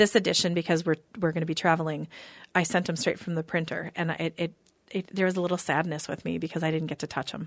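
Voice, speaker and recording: A woman with an Upper Midwest accent speaks at a very fast pace with fairly low pitch. Her intonation is fairly even, on a very clean recording with a silent background. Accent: Upper Midwest (Minnesota). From Minnesota, Eden Prairie. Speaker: magazine publisher and psychic medium. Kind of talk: casual interview chat.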